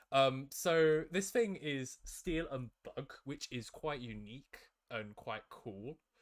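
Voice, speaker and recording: A man with a British accent and fairly high pitch, lively intonation, a very slow pace and big swings in loudness. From UK. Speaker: competitive Pokemon player. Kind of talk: casual discussion.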